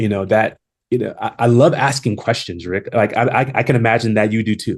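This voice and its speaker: This voice has an American accent and moves at a moderate pace. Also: man. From Long Beach, California. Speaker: HR executive and consultant. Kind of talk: podcast interview. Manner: halting with many repetitions; confident.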